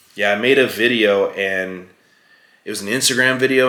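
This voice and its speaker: A man talks with fairly even intonation. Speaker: supplement brand owner / fitness vlogger. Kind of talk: casual talking-head vlog. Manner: fast; casual, filler-heavy.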